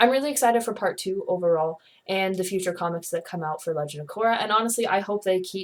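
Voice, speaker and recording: Her medium-pitched voice as a woman shows ordinary pitch variation. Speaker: comic reviewer / video blogger. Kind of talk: casual video review. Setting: bedroom. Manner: fast; animated.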